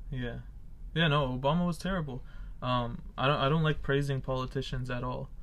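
Medium in pitch, a man talks at a fairly quick pace with fairly even intonation. Audible room echo fills the recording. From Palestine. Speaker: podcast host. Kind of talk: casual chat.

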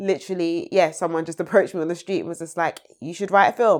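Heard in a very clean recording with a silent background, the voice speaks with a London accent and fairly even intonation. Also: woman. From London (Peckham), Nigerian family. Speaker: screenwriter and playwright. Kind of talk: casual interview.

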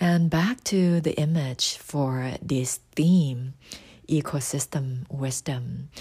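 Someone with a Thai accent speaks at a very slow pace in a very clean recording with a silent background. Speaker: astrology podcaster. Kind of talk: scripted narration.

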